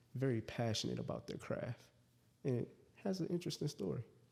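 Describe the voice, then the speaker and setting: Lively in intonation, a man speaks at a medium pitch. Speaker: podcast host. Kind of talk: casual podcast interview.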